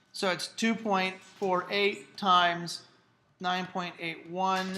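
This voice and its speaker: Her intonation is monotone and flat, with a bright, sharp tone. A woman at a medium pitch speaks, and room echo is audible. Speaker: high school physics teacher. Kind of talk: classroom lecture. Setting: classroom with students.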